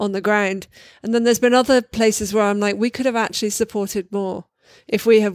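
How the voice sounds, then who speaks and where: In a plain, everyday voice, a woman speaks at a medium pitch with fairly even intonation and a dry, close sound with no echo. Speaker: community organizer. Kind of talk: interview.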